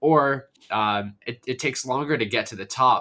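The man's voice has a bright, sharp tone. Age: 20s. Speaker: esports organization founder, university student. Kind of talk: podcast interview.

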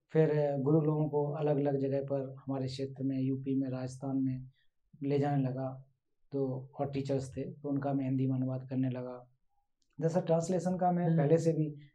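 Monotone, flat intonation and a dark, mellow tone, with audible room echo. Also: man, fairly high pitch for a man. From India, western Uttar Pradesh. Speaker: translator. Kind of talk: interview.

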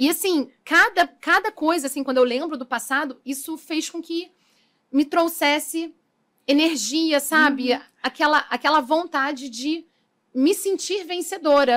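The woman's pitch is high, with ordinary pitch variation. She talks at a fairly slow pace. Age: 30s. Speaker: makeup artist. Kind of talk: interview.

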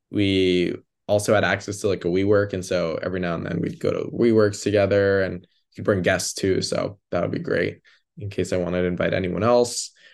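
A man talks at a fairly quick pace in a fairly low pitch with an American accent. He has a plain, everyday voice. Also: quiet background. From US suburbs. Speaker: graduate student. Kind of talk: casual chat. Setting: remote call from his bedroom.

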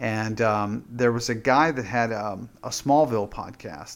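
Very clean with a silent background, the recording carries a man's medium-pitched voice. He speaks at a fairly slow pace. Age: 50s. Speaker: pastor and former podcaster. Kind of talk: casual chat. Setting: podcast recording. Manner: halting, many fillers and repeats.

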